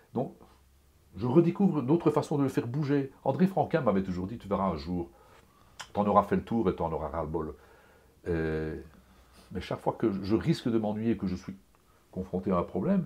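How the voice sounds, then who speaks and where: Long, frequent pauses break up speech that moves at a moderate pace through very wide pitch swings. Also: man, fairly low pitch for a man. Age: 60s. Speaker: comic book artist. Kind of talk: interview. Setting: home studio. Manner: animated; halting.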